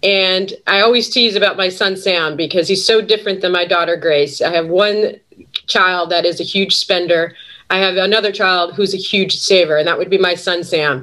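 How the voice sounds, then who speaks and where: A woman in a Western New York accent at medium pitch, moderate pace and fairly even intonation. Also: very even loudness. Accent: Western New York American. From Buffalo, New York. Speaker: sales executive and adjunct professor. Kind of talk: webinar panel talk.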